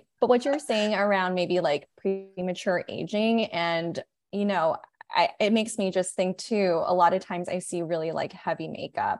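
Here a woman talks in an unremarkable speaking voice at a medium pitch. Her pace is moderate, with ordinary pitch variation. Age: 30s. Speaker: chief marketing officer of a period care brand. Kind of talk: casual interview.

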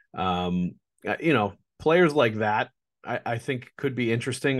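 The speaker is a man with an American accent and a plain, everyday voice. His pitch is medium, his pace moderate, and the background quiet. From Boston. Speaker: hockey podcast host and sportswriter. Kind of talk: solo podcast mailbag.

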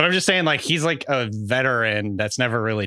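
Speaking with a Pacific Northwest accent, a man uses a bright, sharp tone at a medium pitch with very wide pitch swings, on a very clean recording with a silent background. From Washington State (Bellingham). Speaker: fantasy football podcast co-host. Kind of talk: casual chat.

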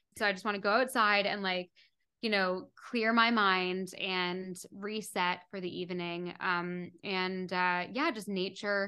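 Here is a woman with an ordinary speaking voice at a medium pitch. She talks at a fairly slow pace with fairly even intonation. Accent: Canadian. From Canada, Toronto. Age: 20s. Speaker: meditation app founder and podcaster. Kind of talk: casual interview chat.

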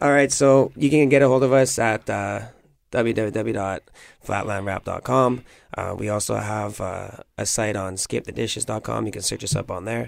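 With a Canadian accent and an ordinary speaking voice, a man talks at a moderate pace and a fairly low pitch with ordinary pitch variation, on a very clean recording with a silent background. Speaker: restaurant owner and cook. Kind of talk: casual interview. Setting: radio studio.

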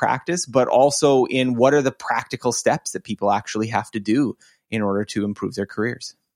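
An unremarkable speaking voice at a fairly quick pace, with fairly even intonation, on a very clean recording with a silent background. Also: man. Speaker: online course creator and learning writer. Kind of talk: casual interview conversation.

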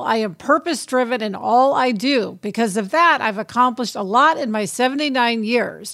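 Hardly pausing, a woman uses an ordinary speaking voice at a fairly high pitch and moderate pace, with ordinary pitch variation. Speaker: podcast co-host, TV writer and producer. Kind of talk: casual chat. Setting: remote from a film set.

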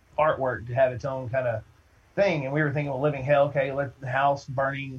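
An ordinary speaking voice from a man with an American accent, fairly high in pitch, at a moderate pace. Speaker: band singer. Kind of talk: casual interview chat.

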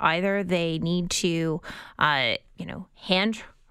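A woman with a normal speaking voice talks at a medium pitch, with ordinary pitch variation. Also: very clean recording, silent background. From rural Southern Ontario. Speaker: political strategist, panelist. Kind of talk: radio panel discussion.

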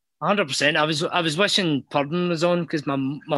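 Over a quiet background, the voice has a bright, sharp tone and ordinary pitch variation. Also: man. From Scotland. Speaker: caller. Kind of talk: casual chat.

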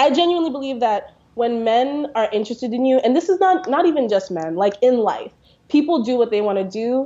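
With lively intonation and a fairly high pitch, a woman talks at a fairly quick pace in an ordinary speaking voice. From US South, New Orleans. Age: 20s. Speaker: toy company founder. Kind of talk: casual chat.

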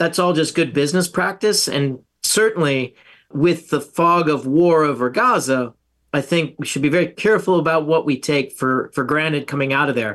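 A man's unremarkable speaking voice, fairly high in pitch, with ordinary pitch variation, very even loudness and a moderate pace, over a quiet background. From US South. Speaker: retired navy officer, defense researcher. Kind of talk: interview.

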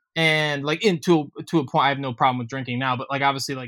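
This man has an ordinary speaking voice. His pitch sits fairly high and varies in an ordinary way. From Ohio. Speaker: musician. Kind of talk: casual chat.

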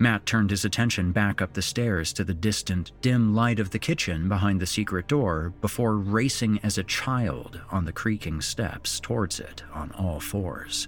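A man with a normal speaking voice, fairly low pitch, ordinary pitch variation, a moderate pace and hardly any pauses. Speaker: horror podcast host and story narrator. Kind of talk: spooky horror story narration read aloud. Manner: theatrical, voicing characters' dialogue; suspenseful, measured storytelling pace.

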